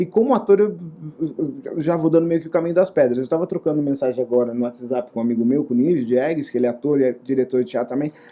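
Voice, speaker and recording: A man speaks very fast in a fairly high pitch, his tone dark and mellow. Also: ordinary pitch variation. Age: 60s. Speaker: actor and theater director. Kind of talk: interview. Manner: hesitant with repetitions.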